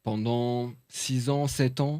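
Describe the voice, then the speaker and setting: In a Paris suburban accent, a man speaks at a medium pitch. His intonation is monotone and flat. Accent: Parisian banlieue street accent, adopted. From France. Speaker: journalist and author. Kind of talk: podcast interview. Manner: hesitant, many fillers.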